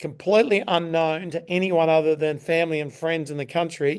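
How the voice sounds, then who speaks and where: A man with an Australian accent, fairly high in pitch, at a fairly quick pace with ordinary pitch variation. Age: 60s. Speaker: Ironman champion and performance coach. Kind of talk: podcast interview. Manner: halting.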